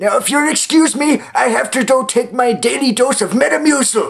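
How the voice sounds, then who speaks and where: This is a man using a put-on character voice. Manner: scolding, indignant, loud.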